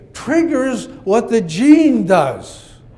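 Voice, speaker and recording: Audible room echo surrounds a man whose pitch swings very widely as he speaks. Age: 80s+. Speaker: psychologist. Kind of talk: conference speech.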